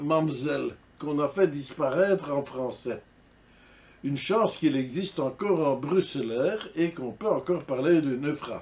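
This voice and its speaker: Fairly slow, fairly high-pitched speech from a man, with ordinary pitch variation. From Brussels, Belgium (Ganshoren, Saint-Gilles). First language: Brussels Flemish dialect (speaking French). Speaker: dialect enthusiast / vlogger. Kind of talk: casual monologue to camera.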